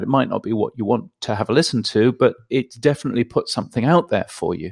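With a British accent, a man talks at a fairly quick pace with ordinary pitch variation, the sound dry and close with no echo. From England. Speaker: radio and podcast consultant. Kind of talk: interview. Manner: halting with many fillers.

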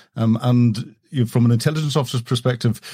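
A man with a medium pitch and a dark, mellow, somewhat breathy tone speaks at a moderate pace in a very clean recording with a silent background. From Northern Ireland. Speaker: former military officer. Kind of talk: casual interview chat. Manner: hesitant, repeats words.

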